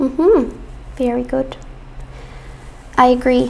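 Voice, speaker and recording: Speaking at a fairly slow pace, a woman with an American accent has a high pitch, and there is noticeable background noise. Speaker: English teacher. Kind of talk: online class. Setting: live stream.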